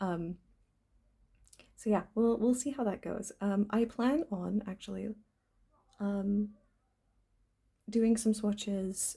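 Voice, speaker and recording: A woman's medium-pitched, somewhat breathy voice at a very slow pace, with long, frequent pauses and fairly even intonation. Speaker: stationery vlogger. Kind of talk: casual vlog talk. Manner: halting with many ums.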